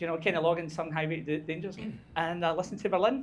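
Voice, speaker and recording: A man with a Scottish accent speaks in a high voice. His delivery is animated and very fast. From Scotland. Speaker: book club organizer. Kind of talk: casual chat.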